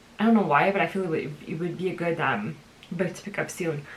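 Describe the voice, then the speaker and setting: The speech runs at a very fast pace with ordinary pitch variation. There is noticeable background noise. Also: woman. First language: French. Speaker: book vlogger. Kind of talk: casual vlog monologue. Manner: casual, hesitant with fillers.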